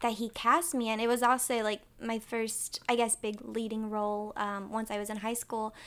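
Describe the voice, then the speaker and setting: A woman's fairly high voice with an American accent. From North Carolina, Winston-Salem. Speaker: actress. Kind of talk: casual chat. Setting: sunroom at her home.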